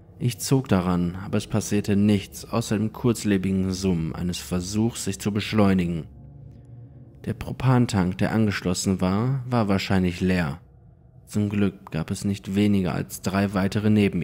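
Over music in the background, a man with a fairly low voice speaks at a fairly slow pace in a dramatic tone, with ordinary pitch variation. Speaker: horror story narrator. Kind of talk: ghost story telling, first-person creepypasta narration. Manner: hushed, suspenseful, slow-building; immersive, dramatic, tense.

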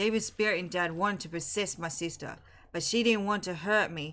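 Her tone is bright and sharp, with a medium pitch and ordinary pitch variation. The woman talks at a fairly quick pace. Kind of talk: reading game story text aloud. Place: home room.

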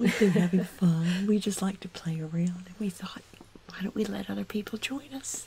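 The tone is playful and the pace moderate, with ordinary pitch variation and big swings in loudness. Noticeable background noise can be heard. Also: woman, medium pitch for a woman. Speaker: mother of the co-host, retired from a medical career, grew up on a farm. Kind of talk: ASMR movie review, casual conversation. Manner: soft-spoken, playful.

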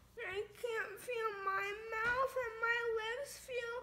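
A woman speaks very slowly in a raised, projected voice with a bright, sharp tone. Her intonation stays fairly even, and background noise is noticeable. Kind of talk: casual drowsy chat. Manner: numb, groggy post-anesthesia slurred speech. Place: home room. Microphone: phone near.

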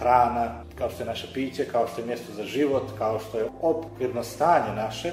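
A man speaks with ordinary pitch variation amid light background noise. Room echo is audible. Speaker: radio show host. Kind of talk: radio show introduction. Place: studio.

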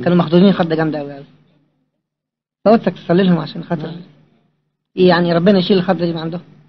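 A man with an Egyptian accent and a high pitch, very fast but with long, frequent pauses, fairly even intonation and big swings in loudness. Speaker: visitor to the monastery, traveller. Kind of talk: casual talk to a monk.

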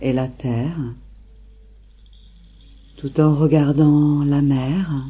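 Very slow and with long, frequent pauses, a woman speaks in a soothing, dark, mellow tone, her very deep, low pitch somewhat breathy and her intonation monotone and flat. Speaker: meditation guide. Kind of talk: guided meditation. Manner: slow, soothing.

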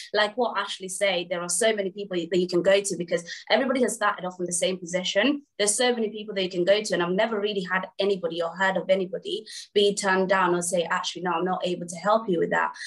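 Speaking at a very fast pace with fairly even intonation, a woman with an East Midlands accent is heard over a quiet background. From English Midlands. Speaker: assistant branch manager; panelist. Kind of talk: panel discussion. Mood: warm, encouraging. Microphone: video call.

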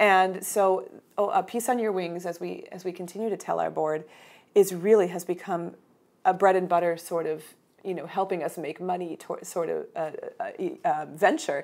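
At a moderate pace, a woman speaks with fairly even intonation and big swings in loudness. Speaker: mezzo-soprano and arts entrepreneur. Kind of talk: interview answer. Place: home room. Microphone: lapel.

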